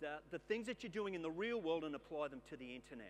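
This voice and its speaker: With an Australian accent, a man speaks with lively intonation as music plays in the background. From Queensland, Australia. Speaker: keynote speaker, former police detective. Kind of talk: keynote talk. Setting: stage with audience.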